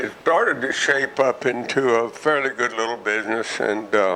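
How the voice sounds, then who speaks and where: Over noticeable background noise, the voice moves at a moderate pace with monotone, flat intonation. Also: man. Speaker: retired businessman. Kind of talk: interview. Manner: halting.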